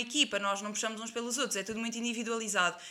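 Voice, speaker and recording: With a flat, monotone intonation, a woman talks in a high pitch. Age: 20s. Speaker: athlete and nutrition student. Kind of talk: casual interview.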